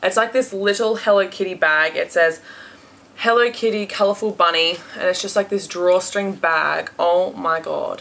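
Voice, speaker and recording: Speaking in an Australian accent, a woman talks at a medium pitch. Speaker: beauty and haul vlogger. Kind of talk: casual haul video monologue. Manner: chatty with frequent filler words.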